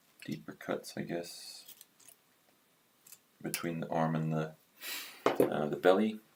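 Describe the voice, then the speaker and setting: Speaking very slowly with long, frequent pauses, a man uses a very deep, low pitch and ordinary pitch variation. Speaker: hobby woodcarver. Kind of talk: live-stream carving tutorial. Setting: livestream. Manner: hesitant, many fillers.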